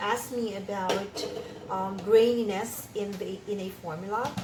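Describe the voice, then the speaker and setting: The pace is fairly slow as a woman speaks. Audible room echo and noticeable background noise surround her voice. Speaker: cosmetics formulation teacher. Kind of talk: tutorial. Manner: hesitant, many fillers.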